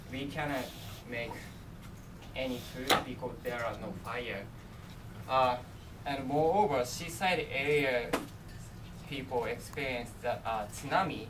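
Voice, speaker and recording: Over noticeable background noise and audible room echo, a man with a Japanese accent speaks at a medium pitch with ordinary pitch variation and a fairly slow pace, leaving long, frequent pauses. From Japan, Miyagi prefecture. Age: 20s. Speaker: international student presenter. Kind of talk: presentation. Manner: halting.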